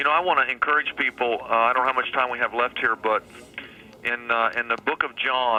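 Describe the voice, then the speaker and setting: Noticeable background noise accompanies speech in an American accent. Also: man. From Kansas, Wichita. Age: 50s. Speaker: pastor. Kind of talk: radio interview. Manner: animated.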